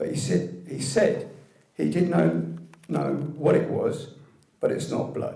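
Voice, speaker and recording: A man with a British accent talks at a very slow pace, leaving long, frequent pauses. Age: 60s. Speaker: medical cannabis patient campaigner. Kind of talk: scripted public speech.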